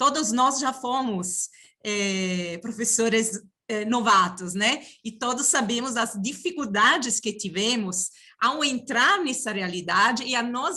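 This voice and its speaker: A woman speaks at a fairly slow pace in a fairly high pitch. Her intonation is lively. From outside Brazil. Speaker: university professor and union director. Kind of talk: panel opening remarks. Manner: halting, many fillers.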